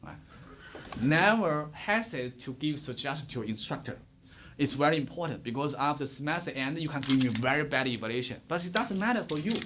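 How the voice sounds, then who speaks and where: At a fairly quick pace, a man with a Chinese accent speaks at fairly high pitch with lively intonation and audible room echo. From China. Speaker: professor. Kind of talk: lecture. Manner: fast.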